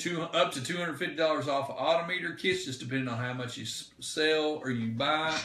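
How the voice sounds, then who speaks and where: A man speaks with lively intonation. There is audible room echo and noticeable background noise. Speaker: diesel truck parts seller. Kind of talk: live stream Q&A. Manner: fast.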